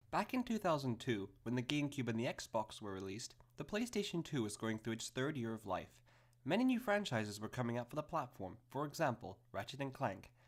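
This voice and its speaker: Medium-pitched man with lively intonation and a fairly quick pace. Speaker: game reviewer. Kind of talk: video game review narration. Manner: fast.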